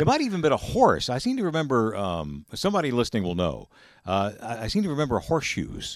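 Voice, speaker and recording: A man in an American accent rattles along at a very fast pace, captured on a very clean recording with a silent background. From Georgia, US South. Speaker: radio news anchor. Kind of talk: radio interview.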